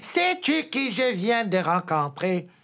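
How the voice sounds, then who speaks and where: A put-on character voice, fairly high in pitch, moves at a very slow pace with very wide pitch swings. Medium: read story. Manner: scornful.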